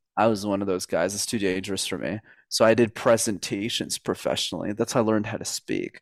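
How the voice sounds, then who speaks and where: A man with a Montreal accent talks at a very fast pace and a fairly low pitch, with fairly even intonation. The sound is dry and close with no echo, on a very clean recording with a silent background. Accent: Canadian English, Montreal. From Montreal, Quebec. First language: French. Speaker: communication coach. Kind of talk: podcast interview.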